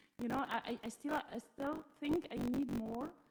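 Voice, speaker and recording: A woman with an Arabic accent, fairly even intonation and a fairly slow pace. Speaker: teacher, audience member. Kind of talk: audience question. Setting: live event with audience, mic. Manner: halting.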